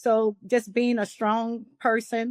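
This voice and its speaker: A woman talks in a New Orleans accent. The recording is very clean and dry, close with no echo and a silent background. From New Orleans, US South. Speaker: nurse practitioner and wellness coach. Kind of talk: podcast interview.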